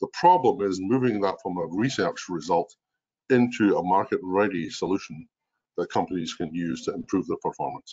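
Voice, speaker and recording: A man with a strong Scottish accent at a moderate pace. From Scotland. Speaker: mining innovation executive. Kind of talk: webinar presentation. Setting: video call. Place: home room. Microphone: webcam.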